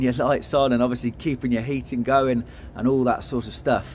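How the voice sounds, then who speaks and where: Light background noise behind a man talking at a moderate pace. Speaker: presenter. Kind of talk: walk-around product tour. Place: hall. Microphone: phone near.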